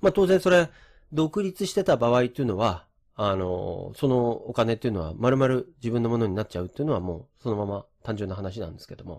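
On a very clean recording with a silent background, a man speaks at medium pitch and a fairly quick pace. His pitch swings very widely and his loudness swings a lot. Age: 50s. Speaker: real estate agent and former programmer. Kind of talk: lecture. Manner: casual with many fillers.

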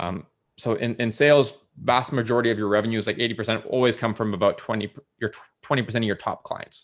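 The speaker talks at a very fast pace with fairly even intonation. The accent is Canadian. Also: man, medium pitch for a man. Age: 30s. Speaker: sales director. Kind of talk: casual chat.

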